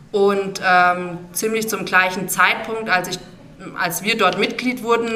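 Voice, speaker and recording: Noticeable background noise and audible room echo accompany a woman speaking with fairly even intonation. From Rhön, Lower Franconia, Germany. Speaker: regional brand manager. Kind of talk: interview.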